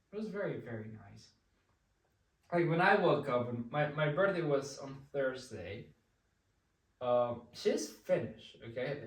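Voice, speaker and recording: A fairly high male voice with lively intonation and big swings in loudness, at a fairly slow pace with long, frequent pauses, in audible room echo. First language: Spanish. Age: 20s. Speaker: vlogger. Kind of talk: casual chat. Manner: halting.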